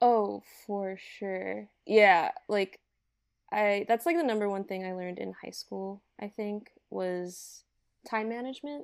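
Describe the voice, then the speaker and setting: Very slow speech with big swings in loudness, in a very clean recording with a silent background. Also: woman, medium pitch for a woman, ordinary pitch variation. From Hawaii, Oahu. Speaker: storyboard artist. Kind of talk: casual chat.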